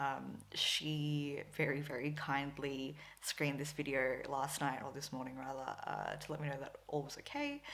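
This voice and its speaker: A woman with a very deep, low voice and vocal fry speaks at a moderate pace in a monotone, flat intonation. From Philippines / Australia (Filipina-Australian). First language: Tagalog. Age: 20s. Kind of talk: casual vlog talk to camera. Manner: chatty, filler-heavy.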